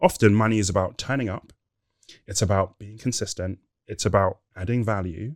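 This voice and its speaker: With a London accent, a man speaks at a fairly low pitch and fairly quick pace, with fairly even intonation and big swings in loudness, in a very clean, dry, close recording with no echo and a silent background. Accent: British English, London. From England. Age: 30s. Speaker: former corporate senior leader. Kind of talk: casual interview chat.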